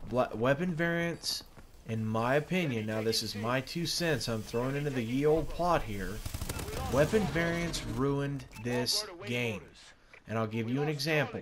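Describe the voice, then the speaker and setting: A man's voice with lively intonation at a moderate pace, over noticeable background noise. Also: medium pitch for a man. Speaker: gaming YouTuber. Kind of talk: casual opinion commentary over gameplay. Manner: halting, stuttering with many fillers.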